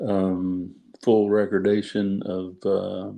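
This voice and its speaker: With a dark, mellow tone, a man talks at a fairly low pitch in monotone, flat intonation. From US South, Ozarks (NW Arkansas / SW Missouri). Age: 60s. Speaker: judge. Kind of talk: interview.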